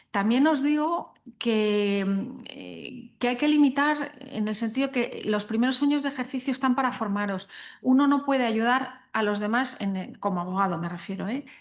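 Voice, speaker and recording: The woman's pitch is high. She talks at a moderate pace. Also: ordinary pitch variation. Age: 60s. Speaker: guest speaker on sustainability and law. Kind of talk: panel talk to young lawyers. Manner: hesitant, many fillers.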